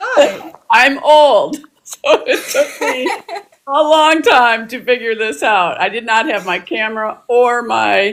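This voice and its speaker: Vocal fry from a woman with a fairly high pitch, at a fairly slow pace. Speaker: novelist and clinical social worker. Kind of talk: interview. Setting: TikTok live video.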